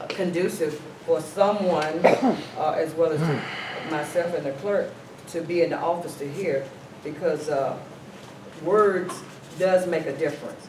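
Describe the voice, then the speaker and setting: A loud man with a high-pitched voice, fairly even intonation and a fairly slow pace, with long, frequent pauses, audible room echo and noticeable background noise. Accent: Southern US. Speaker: mayor chairing a town council meeting. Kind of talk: council meeting, chairing and debate.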